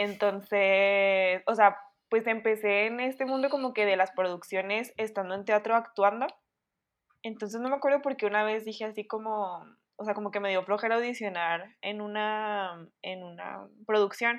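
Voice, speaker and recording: A woman with a fairly high pitch talks at a moderate pace in an unremarkable speaking voice, her intonation fairly even. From Chihuahua, Mexico. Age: 20s. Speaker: communications student. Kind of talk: casual chat.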